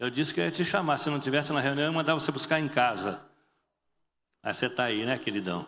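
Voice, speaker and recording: Very fast and animated, a man talks in a fairly high, bright, sharp voice with vocal fry and lively intonation, yet leaves long, frequent pauses. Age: 60s. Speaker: pastor. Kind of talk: sermon.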